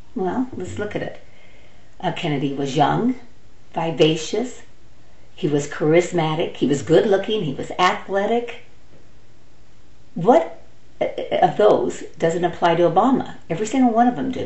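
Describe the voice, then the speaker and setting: With an American accent and a fairly low pitch, a woman talks at a moderate pace with lively intonation and long, frequent pauses. Audible room echo and noticeable background noise surround her voice. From United States. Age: 60s. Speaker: political vlogger. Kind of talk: opinion monologue. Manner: animated; halting.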